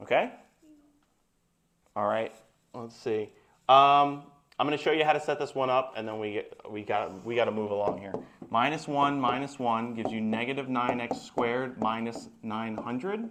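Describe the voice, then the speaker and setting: Over audible room echo, a man speaks at a moderate pace and medium pitch, with ordinary pitch variation and long, frequent pauses. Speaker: math teacher. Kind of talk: classroom lecture.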